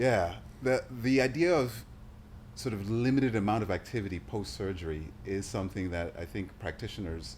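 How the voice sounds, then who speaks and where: The man has a fairly low pitch and lively intonation. He talks at a fairly quick pace in a plain, everyday voice. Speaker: health professional, show host. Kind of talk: interview questions, casual conversation.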